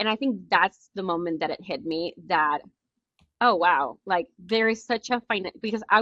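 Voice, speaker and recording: Speaking with a Spanish accent, a woman of medium pitch has a bright, sharp tone and ordinary pitch variation. She talks at a moderate pace in a dry, close sound with no echo. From Nicaragua. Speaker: entrepreneur. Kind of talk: interview. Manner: halting.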